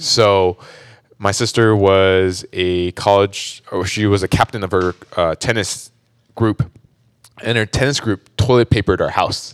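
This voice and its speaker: A normal speaking voice from a man with an American accent, fairly low in pitch and fairly slow, with fairly even intonation and a dry, close sound with no echo. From US West Coast, Orange County, California. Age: 30s. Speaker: church member sharing testimony. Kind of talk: testimony. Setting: studio.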